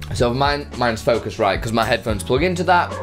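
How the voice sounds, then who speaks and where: A man talks while clear music sounds in the background. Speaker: streaming tutorial creator. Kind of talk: tutorial. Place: home room. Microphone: studio mic.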